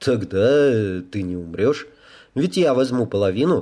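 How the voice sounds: Lively intonation in a natural voice for reading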